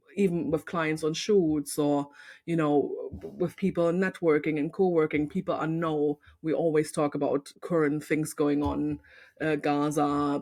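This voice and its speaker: Against a quiet background, a woman with a German accent speaks at a fairly slow pace in a monotone, flat way, with a very deep, low pitch and a dark, mellow tone. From East Germany. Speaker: photographer and podcast host. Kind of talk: casual chat.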